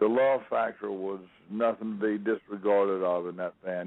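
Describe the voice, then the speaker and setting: Speaking with an American accent, a man uses a fairly low pitch, a moderate pace and fairly even intonation. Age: 60s. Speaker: rock drummer. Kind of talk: interview. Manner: casual, folksy storytelling.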